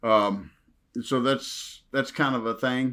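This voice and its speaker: A man with an American accent speaks at a fairly slow pace on a very clean recording with a silent background. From US South, Western Kentucky. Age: 50s. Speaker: retired professional wrestler. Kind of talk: casual interview. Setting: horror convention.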